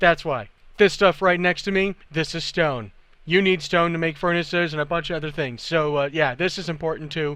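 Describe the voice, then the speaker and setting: A man's high-pitched voice comes across animated, bright and sharp, with a quiet background. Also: ordinary pitch variation. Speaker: video game tutorial maker. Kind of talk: tutorial. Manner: fast.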